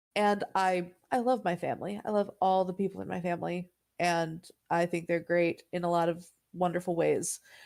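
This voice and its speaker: The recording is very clean, with a silent background. A woman speaks at a moderate pace in a fairly low voice. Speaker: podcast co-host. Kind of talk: casual chat. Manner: animated, many tones.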